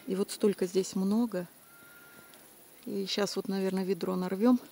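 A woman speaks with fairly even intonation. The sound is dry with no echo. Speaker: nature vlogger picking berries. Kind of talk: casual vlog chat. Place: forest. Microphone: phone near.

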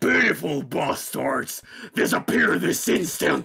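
A man uses a put-on character voice that sounds raspy. He delivers it at a fairly slow pace. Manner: theatrical, commanding.

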